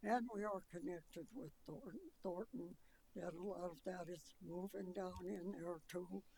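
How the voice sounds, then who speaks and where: A woman with an American accent speaks at a fairly slow pace and a fairly low pitch. Her tone is dark and mellow, with vocal fry. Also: ordinary pitch variation. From Colorado, Adams County area. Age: 90s. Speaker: resident speaking at public hearing. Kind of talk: public comment testimony. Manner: halting.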